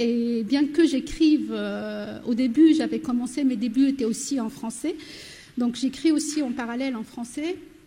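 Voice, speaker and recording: A woman speaks in a high pitch with a dark, mellow tone. Her pace is fairly slow and her intonation fairly even. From southern Morocco, Berber oasis village. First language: Berber (Amazigh) (speaking French). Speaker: novelist. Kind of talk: panel discussion.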